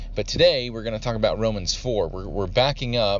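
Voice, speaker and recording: A man's moderate pace is heard through audible room echo. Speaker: podcast Bible teacher. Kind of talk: Bible study teaching. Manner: halting.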